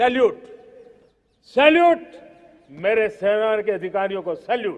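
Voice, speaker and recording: Here is a man with a high pitch. His intonation is lively. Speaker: prime minister giving a national address. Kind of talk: political speech at a national ceremony.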